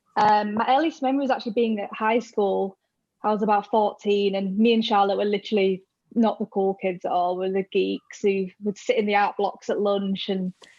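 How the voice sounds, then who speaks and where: A woman with a Yorkshire accent talks at a fairly quick pace with fairly even intonation, the sound dry and close with no echo. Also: medium pitch for a woman. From northern England, Hull, Yorkshire. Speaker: rock fan. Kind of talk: casual chat.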